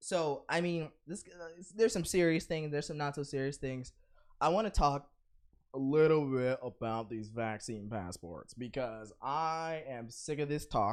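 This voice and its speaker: A man with a normal speaking voice, fairly high pitch, lively intonation and a moderate pace, over a quiet background. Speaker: podcast co-host. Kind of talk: casual chat.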